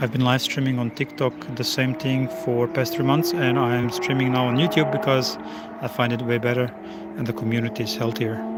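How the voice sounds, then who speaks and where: A man with a Croatian accent talks at a fairly quick pace in a medium pitch with ordinary pitch variation, over noticeable background noise. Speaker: live streamer. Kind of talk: live stream chat. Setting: outdoors at a race track. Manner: loud when cars pass.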